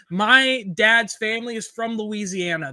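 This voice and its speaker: In a raised, projected voice, a man with a high pitch and a bright, sharp tone speaks at a fairly slow pace with lively intonation. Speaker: sports podcast host. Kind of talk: casual sports chat. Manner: animated. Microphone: professional mic.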